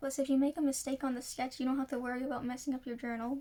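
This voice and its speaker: This woman has a high pitch. She talks at a very fast pace. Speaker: journaling hobbyist; journaling vlogger. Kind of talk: casual tutorial voiceover. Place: home room. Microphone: phone near.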